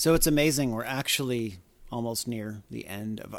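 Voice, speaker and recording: A normal speaking voice in a Canadian accent, with lively intonation and a fairly slow pace, on a very clean recording with a silent background. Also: man. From Canada. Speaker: podcast host and mindfulness teacher. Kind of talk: solo monologue podcast. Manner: casual, with filler words.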